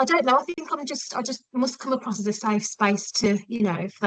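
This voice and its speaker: A woman speaks with a West Midlands accent. Her pace is fairly quick, with ordinary pitch variation. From West Midlands, England. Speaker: podcast guest, forensic psychology student. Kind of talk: casual interview chat. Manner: hesitant, many 'um' fillers.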